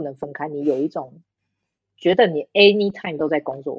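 A woman with a normal speaking voice and lively intonation. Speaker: podcast guest. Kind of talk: casual chat.

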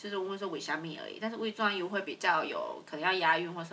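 A Taiwanese accent over noticeable background noise. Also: woman. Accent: Taiwanese Mandarin. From central Taiwan. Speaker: podcast co-host. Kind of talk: casual chat.

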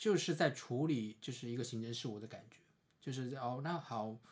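Using an ordinary speaking voice, a man talks at a medium pitch and a fairly quick pace. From China, Suzhou, Jiangsu. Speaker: visually impaired counseling PhD student. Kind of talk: casual chat.

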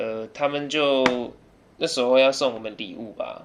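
A man talks at medium pitch, varying it in an ordinary way. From Taiwan (early childhood in England). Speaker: podcast guest. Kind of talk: casual chat.

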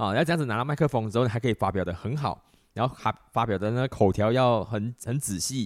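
A man talking at a very fast pace, in a very clean recording over a silent background. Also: dry, close sound with no echo. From Malaysia. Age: 30s. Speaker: podcast host. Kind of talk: solo monologue podcast. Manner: many filler words.

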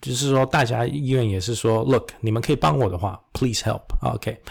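A man speaks in a normal speaking voice at medium pitch with lively intonation. The recording is very clean, the background silent. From Taiwan, then Istanbul and US East Coast schooling. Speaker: medical professor and surgeon. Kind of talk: interview. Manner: code-switches between Mandarin and English.

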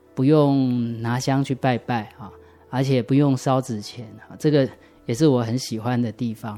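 A man speaks at medium pitch in a dark, mellow tone and at a moderate pace. His intonation stays fairly even while his loudness swings widely. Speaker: church member giving testimony. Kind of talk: testimony. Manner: hesitant, many fillers.

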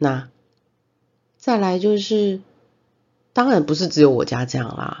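With a Taiwanese accent, a woman speaks with very wide pitch swings and long, frequent pauses. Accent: Taiwanese Mandarin. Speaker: podcast host. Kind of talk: casual monologue. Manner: hesitant, many fillers.

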